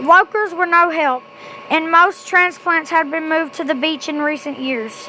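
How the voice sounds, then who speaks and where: Over noticeable background noise, a woman uses a raised, projected voice at a high pitch with ordinary pitch variation. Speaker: amateur creepypasta reader. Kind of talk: horror story reading.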